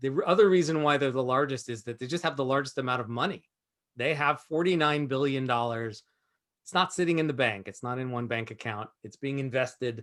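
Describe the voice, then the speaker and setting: A man talks at a fairly quick pace in a medium pitch. His pitch variation is ordinary. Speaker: entrepreneur and investor teaching a webinar. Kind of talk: webinar presentation. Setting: video call. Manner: fast; animated.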